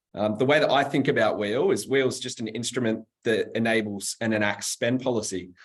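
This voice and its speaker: A man with a Sydney accent, medium in pitch, at a moderate pace with ordinary pitch variation. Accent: Australian (Western Sydney). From Australia, Western Sydney. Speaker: webinar host, customer success staff. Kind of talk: panel webinar hosting. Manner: casual, filler-heavy.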